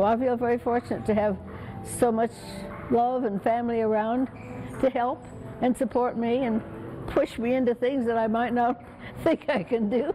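Over clear music in the background, a woman with a high pitch talks at a moderate pace with long, frequent pauses, fairly even intonation and very even loudness. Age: 90s. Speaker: retired teacher, ping pong champion; retired teacher. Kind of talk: interview. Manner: halting. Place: hall.

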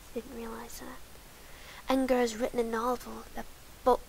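Delivery comes at a fairly slow pace. The speaker is soft-spoken. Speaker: ASMR creator. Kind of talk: ASMR soft-spoken reading.

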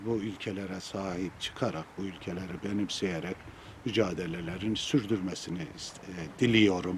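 A man with a very deep, low pitch speaks at a fairly slow pace with fairly even intonation over noticeable background noise. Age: 70s. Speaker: former footballer. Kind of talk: memorial statement to press.

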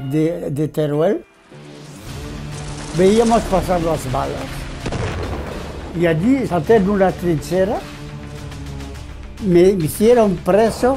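Clear music plays in the background as a man talks at a very slow pace. His pitch is high, with ordinary pitch variation. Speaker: war veteran. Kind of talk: interview answer. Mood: earnest, emotional recollection. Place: home room.

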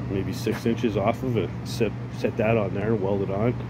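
A man's voice sounds dry, with no echo. Noticeable background noise is present. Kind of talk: casual vlog chat. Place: garage. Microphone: phone near.

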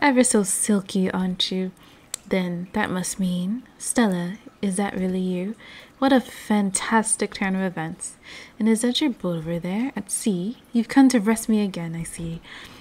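This soft-spoken woman sounds somewhat breathy and keeps a moderate pace. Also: medium pitch for a woman, ordinary pitch variation. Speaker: gamer. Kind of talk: reading game dialogue aloud. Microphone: studio mic.

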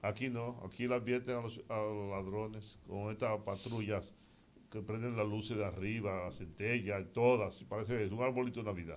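Through light background noise, a man with a Dominican accent talks fairly quickly in a fairly low voice with fairly even intonation. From Dominican Republic. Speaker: radio host. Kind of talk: call-in talk radio. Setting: studio. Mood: critical, concerned about crime. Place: studio. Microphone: studio mic.

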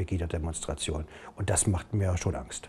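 The voice has a dark, mellow tone, is somewhat breathy, and shows ordinary pitch variation. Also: man. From Saxony, Germany. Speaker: mayor; city mayor, politician. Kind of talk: interview. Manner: halting, many fillers. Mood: serious, concerned. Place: office.

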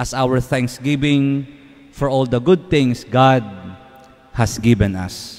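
A very slow male voice with ordinary pitch variation. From Philippines. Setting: church, live-streamed Mass. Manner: formal, solemn, measured. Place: church. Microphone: podium.

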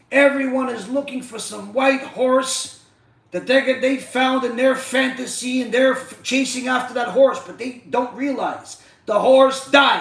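An animated voice moves at a fairly slow pace with big swings in loudness, set against audible room echo. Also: man, extremely high pitch for a man. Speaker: rabbi, Torah teacher. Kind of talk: religious lecture (live-streamed Torah class). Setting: live stream. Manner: animated, rhetorical and repetitive. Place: home room.

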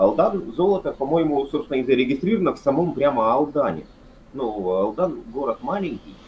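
With vocal fry and very wide pitch swings, the voice moves at a fairly quick pace over light background noise. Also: man, fairly high pitch for a man. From Yakutia, Russia (Yakutsk); Yakutia, Russia. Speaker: history lecturer. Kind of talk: casual chat. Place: home room. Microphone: video call.

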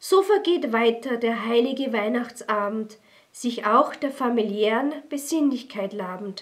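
Lively intonation from a woman with a fairly high pitch, a fairly slow pace and a quiet background. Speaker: poetry reader. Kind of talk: poetry reading. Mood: calm, festive, warm. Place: studio.

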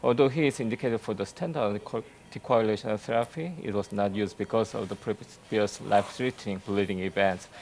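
An ordinary speaking voice from a man, fairly low in pitch and fairly quick in pace, with ordinary pitch variation and light background noise. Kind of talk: case presentation.

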